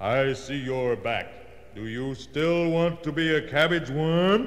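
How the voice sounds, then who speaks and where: A man puts on a character voice, pitched fairly high. There is a clear echo and light background noise. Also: fairly slow pace. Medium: read story.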